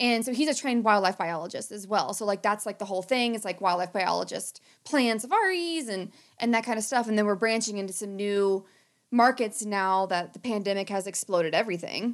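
An unremarkable speaking voice from a woman with an American accent, medium in pitch, with ordinary pitch variation. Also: fairly quick pace. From rural southern Ohio, US. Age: 30s. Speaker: podcast host and conservation biologist. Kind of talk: casual chat.

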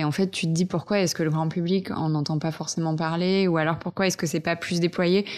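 In a normal speaking voice, a woman with a fairly low pitch talks at a moderate pace with fairly even intonation against a quiet background. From French Alps, Vercors. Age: 20s. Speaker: eco content creator. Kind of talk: casual interview. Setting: host's living room.

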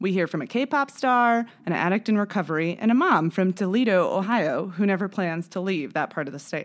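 With a normal speaking voice at medium pitch, a woman talks at a fairly quick pace with lively intonation and hardly any pauses. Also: very clean recording, silent background. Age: 30s. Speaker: podcast host. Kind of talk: scripted narration.

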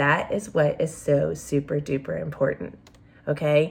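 A woman with an American accent speaks at a fairly slow pace in a somewhat breathy voice. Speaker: special education advocacy podcast host. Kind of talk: educational explainer podcast. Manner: casual, conversational.

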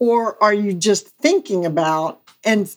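At a fairly slow pace, a woman with a Southern US accent speaks at a medium pitch with lively intonation. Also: very clean recording, silent background. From US South, Mississippi. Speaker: real estate agent. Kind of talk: casual interview chat.

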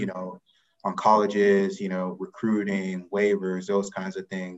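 A man with an American accent, fairly low pitch, moderate pace and monotone, flat intonation. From US South, Atlanta, Georgia. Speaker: college athletics eligibility official. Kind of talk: interview.

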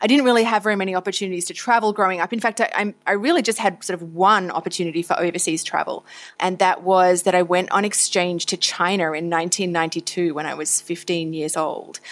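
An Australian accent from a woman, medium in pitch with ordinary pitch variation, very fast with hardly any pauses. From Australia (Tasmania, Victoria). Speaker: foreign correspondent. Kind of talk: interview.

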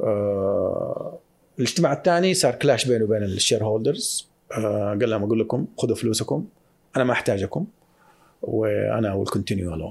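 On a very clean recording with a silent background, a man's speech moves at a moderate pace. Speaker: investment firm founder. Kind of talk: casual interview. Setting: studio. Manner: mixes English phrases into Arabic.

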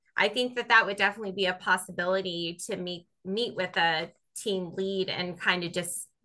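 A woman with an American accent, medium pitch and ordinary pitch variation, a bright, sharp tone and a fairly slow pace. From US Southwest. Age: 40s. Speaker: instructional coach. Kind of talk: coaching call.

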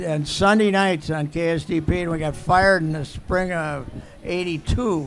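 Speaking in an Upper Midwest accent, a man with a high pitch and ordinary pitch variation goes at a very slow pace. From Minnesota. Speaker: sports columnist. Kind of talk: interview storytelling.

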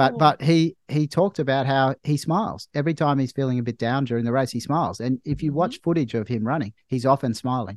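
In a dry, close sound with no echo and a quiet background, a man with an Australian accent talks very fast with hardly any pauses, at medium pitch with ordinary variation. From Australia, Melbourne. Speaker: doctor. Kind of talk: casual chat. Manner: halting.

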